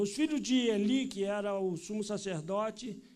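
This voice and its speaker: A man's voice carries audible room echo, and his pitch moves in an ordinary way. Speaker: pastor. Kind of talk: sermon. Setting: church.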